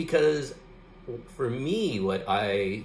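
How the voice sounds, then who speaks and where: A man speaks with lively intonation while music plays in the background. Room echo is audible. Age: 50s. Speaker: art YouTuber. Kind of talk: casual talk to camera. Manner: relaxed, hesitant with fillers. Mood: calm, reflective, upbeat. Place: home room. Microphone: phone near.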